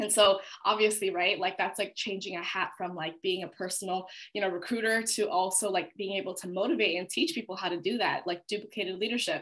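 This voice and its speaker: Over a quiet background, a woman talks at a very fast pace with fairly even intonation. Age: 20s. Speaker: network marketing promoter; guest. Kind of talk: testimony. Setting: video call. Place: home room. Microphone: video call.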